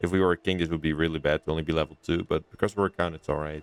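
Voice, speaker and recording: A man speaks with a Dutch accent. The sound is dry and close, with no echo. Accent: Dutch, non-native English. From Netherlands. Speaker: gaming YouTuber. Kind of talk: let's play commentary. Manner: hesitant, many fillers.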